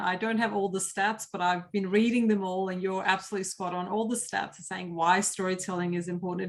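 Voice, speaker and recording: A woman's medium-pitched voice, monotone and flat, at a fairly quick pace with hardly any pauses. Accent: non-native. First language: not English. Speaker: cybersecurity professional and presenter. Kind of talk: interview conversation.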